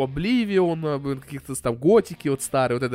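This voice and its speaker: Here a man talks at a moderate pace. His pitch is fairly high, with ordinary variation. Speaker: podcast co-host. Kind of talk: casual chat. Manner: loud.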